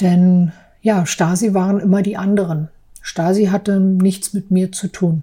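Very slowly, a woman speaks at medium pitch in a dark, mellow tone that is somewhat breathy. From East Berlin, Friedrichshain. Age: 40s. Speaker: office clerk and artist. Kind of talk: personal testimony.

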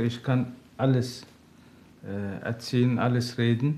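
A man speaks with a Turkish accent at a medium pitch. His voice is somewhat breathy. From Turkey. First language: Turkish (speaking German). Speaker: father seeking counseling. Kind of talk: interview. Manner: halting.

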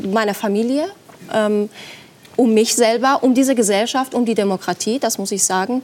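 Over noticeable background noise, a woman in a Persian accent speaks with ordinary pitch variation. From Iran. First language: Persian (speaking German). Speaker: journalist. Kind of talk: TV talk show debate. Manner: hesitant, many fillers.

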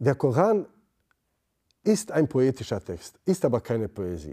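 A man speaks at a fairly slow pace with vocal fry and a dark, mellow tone. The recording is very clean, with a silent background. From Bosnia. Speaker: theology lecturer, former imam. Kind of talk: interview.

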